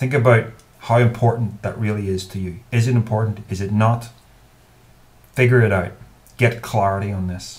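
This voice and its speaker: A man with a Northern Irish accent speaks at a moderate pace with fairly even intonation, a somewhat breathy voice, and long, frequent pauses. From Northern Ireland. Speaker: YouTuber. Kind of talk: advice monologue to camera. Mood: earnest, thoughtful. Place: home room. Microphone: webcam.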